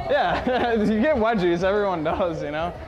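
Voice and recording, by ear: A man talks at a moderate pace in a high pitch with ordinary pitch variation, with faint background noise and faint crowd noise behind him.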